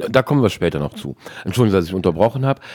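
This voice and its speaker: A man speaks with a fairly low pitch and a dark, mellow tone. His pitch swings very widely. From western Germany. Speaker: podcast host. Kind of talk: interview.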